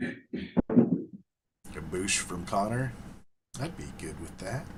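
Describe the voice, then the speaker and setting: Soft-spoken and somewhat breathy, a man with fairly low pitch talks at a very slow pace while his pitch swings very widely. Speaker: hockey fan live stream co-host. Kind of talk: casual chat.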